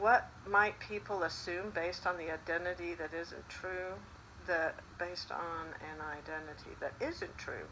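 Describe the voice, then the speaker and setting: A woman speaks fairly slowly at a fairly low pitch, with fairly even intonation. Her loudness swings widely over noticeable background noise. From Spain. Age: 60s. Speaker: retired teacher. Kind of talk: personal reflection. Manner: hesitant, many fillers.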